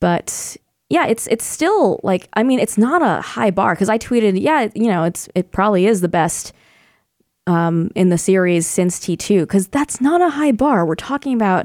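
A woman at medium pitch has a normal speaking voice with lively intonation. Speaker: entertainment video channel lead. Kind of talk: casual chat. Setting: studio.

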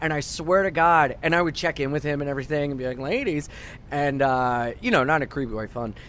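Fairly quick pace from a man with fairly high pitch, a normal speaking voice and ordinary pitch variation. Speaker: comedian. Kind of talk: casual chat. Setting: studio.

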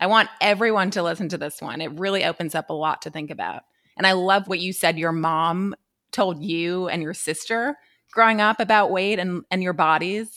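At a moderate pace, a woman talks in a normal speaking voice at a medium pitch. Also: ordinary pitch variation. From New York. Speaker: podcast host, beauty editor. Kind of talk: casual chat.

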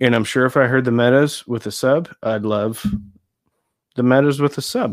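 A normal speaking voice from a man with an American accent, at a moderate pace in a very clean recording with a silent background. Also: medium pitch for a man, fairly even intonation. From Nebraska, US. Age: 40s. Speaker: audio equipment YouTuber. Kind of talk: casual chat.

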